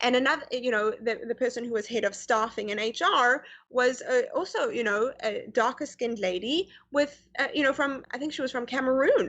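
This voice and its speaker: This woman's voice is high in pitch with ordinary pitch variation. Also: moderate pace. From South Africa (Pretoria), then Canada. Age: young. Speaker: guest on interview show. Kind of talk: casual interview chat. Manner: halting, many fillers.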